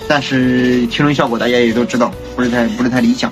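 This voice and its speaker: Clear music plays in the background while a man talks. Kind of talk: casual vlog chat. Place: home room.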